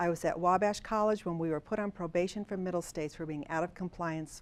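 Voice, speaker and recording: A woman speaks at a fairly quick pace with fairly even intonation. The recording is very clean, with a silent background. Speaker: university assessment administrator. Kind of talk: conference presentation. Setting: conference session with audience. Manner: fast; casual, filler-heavy.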